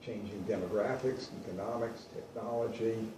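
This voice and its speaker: Amid noticeable background noise and audible room echo, a man speaks at a moderate pace with a fairly low pitch. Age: 60s. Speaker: vintage guitar dealer and collector. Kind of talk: talk to an audience. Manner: conversational.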